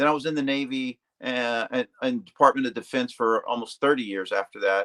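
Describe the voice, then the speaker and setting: Dry and close with no echo, a man's bright, sharp voice at medium pitch moves at a fairly quick pace with ordinary pitch variation. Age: 60s. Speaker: carnivore diet guest, retired Navy and defense worker. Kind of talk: casual chat. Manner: halting, many fillers and restarts.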